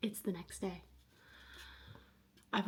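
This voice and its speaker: A woman's medium-pitched voice with vocal fry, fairly even intonation and a moderate pace. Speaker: lifestyle vlogger. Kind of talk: casual vlog talk.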